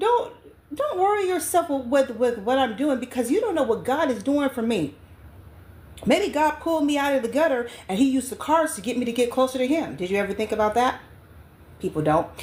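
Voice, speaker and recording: Loud and stern, a woman with a high pitch speaks at a fairly quick pace, her pitch swinging very widely. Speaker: online spiritual advisor and vlogger. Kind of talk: casual monologue vlog. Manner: loud, stern.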